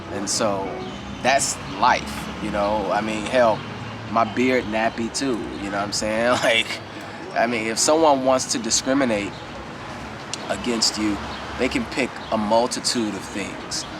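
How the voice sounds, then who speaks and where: Amid noticeable background noise, a man speaks in a relaxed tone at a medium pitch and fairly slow pace, with fairly even intonation and long, frequent pauses. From Chicago. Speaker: retired school teacher. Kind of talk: interview answer. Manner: relaxed, casual.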